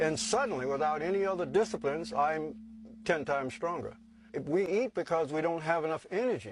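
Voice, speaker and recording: A man with a normal speaking voice, fairly high pitch, lively intonation and a fairly quick pace over a quiet background. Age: 60s. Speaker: sun gazer and recording studio owner. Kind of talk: personal testimony.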